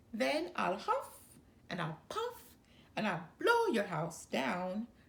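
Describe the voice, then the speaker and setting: A woman uses a put-on, growling character voice at a medium pitch. She speaks at a very slow pace. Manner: growling, threatening.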